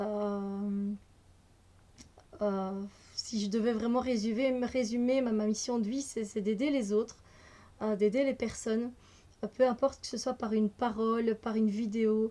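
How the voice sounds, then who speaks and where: A woman's fairly high, dark and mellow voice, fairly slow and flat in intonation, with long, frequent pauses. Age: 30s. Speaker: energy healer and card reader. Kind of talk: casual vlog self-introduction. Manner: hesitant, many fillers.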